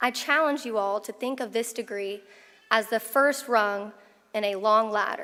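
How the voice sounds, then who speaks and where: A woman with an American accent speaks at a fairly high pitch and a fairly slow pace. Her tone is bright and sharp. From Oklahoma, US. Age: 20s. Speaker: attorney, commencement speaker. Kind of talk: commencement speech. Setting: graduation ceremony with audience.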